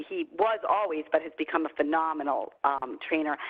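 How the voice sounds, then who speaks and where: A woman talks in a New York accent at a fairly quick pace. Her pitch is fairly low and her intonation fairly even. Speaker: company CEO and trainer. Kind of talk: online training webinar. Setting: video call. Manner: fast; casual.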